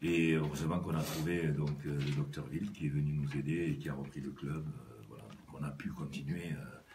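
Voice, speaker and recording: A man's very deep, low voice with vocal fry, fairly even intonation, a moderate pace and hardly any pauses, in audible room echo. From southwest France, Lot-et-Garonne. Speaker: business executive and rugby club president. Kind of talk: radio interview. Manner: halting, many hesitations.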